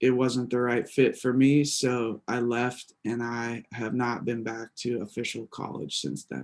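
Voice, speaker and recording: A man with an American accent speaks at a very slow pace in a monotone, flat intonation. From Pittsburgh, Pennsylvania. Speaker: life coach and speaker. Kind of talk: college presentation Q&A. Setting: college classroom with audience.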